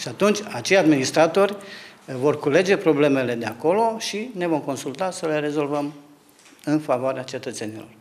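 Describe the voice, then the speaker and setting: Lively in intonation and moderate in pace, a man with a fairly high pitch has an unremarkable speaking voice. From Romania, Zalău (Sălaj, Transylvania); Romania. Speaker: local council candidate, teacher; council candidate, teacher. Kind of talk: interview. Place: office. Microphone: handheld.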